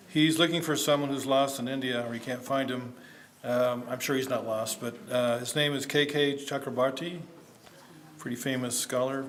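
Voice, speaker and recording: Amid audible room echo and noticeable background noise, a man talks at medium pitch in a monotone, flat intonation. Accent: American. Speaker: academic conference speaker. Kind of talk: conference presentation. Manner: hesitant, many fillers; fast, hurried.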